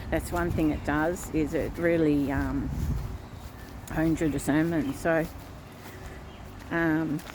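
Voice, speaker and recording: Pitched very deep and low, a woman speaks with vocal fry in a monotone, flat intonation at a very slow pace, with long, frequent pauses, very even loudness and audible room echo. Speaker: vlogger. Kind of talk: casual vlog monologue. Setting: outdoors by a river. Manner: halting.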